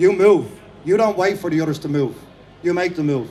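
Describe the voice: With an Irish accent, a man talks at a fairly quick pace in a high pitch, his intonation lively and his tone slightly mellow.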